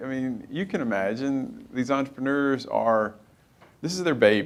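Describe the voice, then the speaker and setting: A man with an Arkansas accent, at a moderate pace with lively intonation. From Arkansas, US South (Helena). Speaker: company founder and CEO. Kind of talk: on-stage interview.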